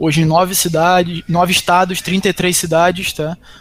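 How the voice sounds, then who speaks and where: A man talks in a high pitch with a monotone, flat intonation. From Macaé, Rio de Janeiro state, Brazil. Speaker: business executive. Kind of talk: interview.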